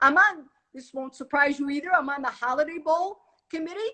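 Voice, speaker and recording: Speaking at a fairly quick pace, a woman uses a raised, projected voice with a bright, sharp tone. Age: 60s. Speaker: retired police chief. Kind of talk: interview. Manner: hesitant, many fillers.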